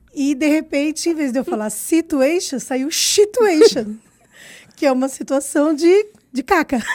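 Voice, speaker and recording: Here a woman speaks with a high pitch and lively intonation. Her pace is fairly slow. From Brazil. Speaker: circus performer. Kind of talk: interview conversation.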